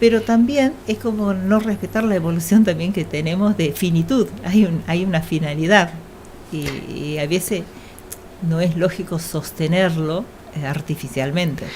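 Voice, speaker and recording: Amid noticeable background noise, a woman talks at a fairly slow pace, her fairly low voice showing ordinary pitch variation. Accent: Argentine. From Argentina. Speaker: doctor on hospital bioethics committee. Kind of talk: radio interview.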